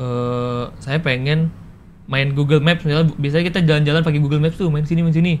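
A man speaks at a fairly quick pace in a plain, everyday voice, his pitch fairly high and intonation fairly even. Light background noise is present. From Jambi, Sumatra, Indonesia; Indonesia. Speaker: video content creator. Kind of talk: casual interview. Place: studio.

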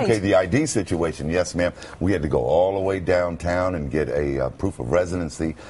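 A man with an American accent, a very deep, low pitch, ordinary pitch variation, and a fairly quick pace. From Brooklyn, New York. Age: 50s. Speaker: former radio announcer. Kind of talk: TV interview answer. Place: studio.

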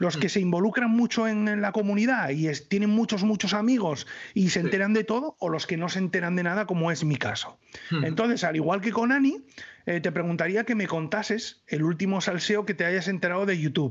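Against a quiet background, a man with a high pitch talks at a fairly quick pace in an animated tone, with very even loudness and ordinary pitch variation. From northern Spain. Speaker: YouTuber, knife reviewer. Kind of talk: casual chat. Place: home room. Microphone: studio mic.

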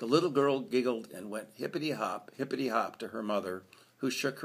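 Someone is reading aloud in a natural voice. The delivery stays natural throughout.

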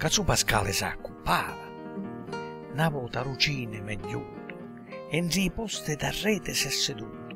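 A man speaks with music in the background. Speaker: poet. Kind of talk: dialect poetry reading.

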